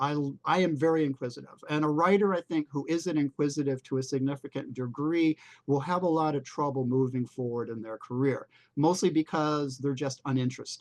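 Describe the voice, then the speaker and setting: An ordinary speaking voice from a man, fairly high in pitch with fairly even intonation. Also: fairly quick pace. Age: 60s. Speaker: freelance writer and speaker. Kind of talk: talk to a writers' group meeting.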